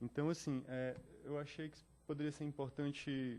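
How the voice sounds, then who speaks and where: A man's dark, mellow tone at a fairly slow pace. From Northeast Brazil, Fortaleza. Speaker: visual artist. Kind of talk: artist talk. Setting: talk with live audience. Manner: halting, many fillers.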